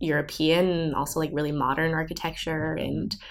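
A woman speaks in an American accent. Her pitch is very deep and low. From Southern California. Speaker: recent college graduate. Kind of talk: interview. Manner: casual, filler-heavy with um and like.

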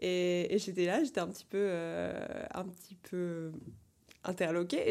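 A woman at a moderate pace. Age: 20s. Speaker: quidditch federation president. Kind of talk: casual chat. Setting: at her home.

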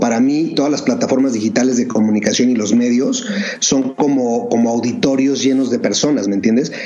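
Noticeable background noise and audible room echo surround a man speaking at a moderate pace in a medium pitch with ordinary pitch variation. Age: 40s. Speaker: entrepreneur, bottled water company founder. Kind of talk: interview.

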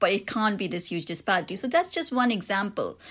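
A woman with an Indian accent, lively intonation and a moderate pace, over a quiet background. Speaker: author and academic. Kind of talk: interview. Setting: remote recording.

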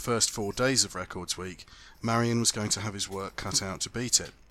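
Recorded very cleanly against a silent background, a man with fairly low pitch and a bright, sharp tone talks at a fairly quick pace. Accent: British. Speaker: motorsport podcast host. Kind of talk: scripted narration and field interviews. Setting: outdoors at a lakeside event.

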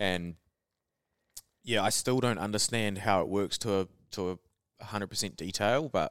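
A man with a New Zealand accent on a very clean recording with a silent background. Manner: casual, joking.

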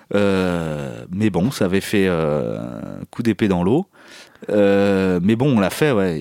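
Very deep, low male speech, dry and close without echo, recorded very cleanly against total silence. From France, Picardy (Saint-Quentin). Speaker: musician. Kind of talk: casual interview. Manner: halting.

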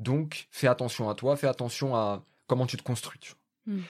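A man talks at a medium pitch. His recording is very clean against a silent background. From France. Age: 20s. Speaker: podcaster and journalism graduate. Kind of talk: casual conversation. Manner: halting, many fillers.

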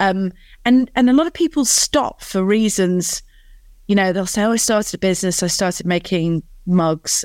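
With a northern English accent, a woman speaks at a moderate pace with very wide pitch swings, on a very clean, dry, close recording with a silent background and no echo. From northern England. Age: 40s. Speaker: business founder and CEO.

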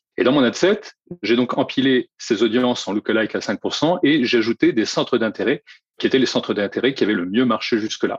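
A man at medium pitch and moderate pace, with an unremarkable speaking voice and a dry, close sound with no echo. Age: 40s. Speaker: digital advertising agency director. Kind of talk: casual interview.

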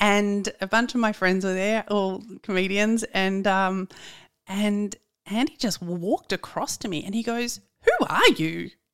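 Speaking in an Australian accent, a woman keeps a medium pitch and fairly even intonation. Her voice sounds dry and close, with no echo. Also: fairly slow pace. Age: 40s. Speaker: podcast producer. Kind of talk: casual chat.

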